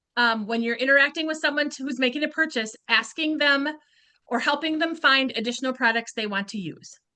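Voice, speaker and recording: Raised and projected, a woman's high, bright, sharp voice moves at a fairly quick pace with ordinary pitch variation. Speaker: beauty sales consultant. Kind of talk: training talk. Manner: fast; animated.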